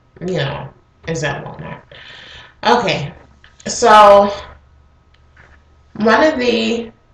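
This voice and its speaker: A woman's voice carries an audible room echo, with background noise clearly present too. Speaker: vlogger. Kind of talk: casual chat. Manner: casual, hesitant with fillers.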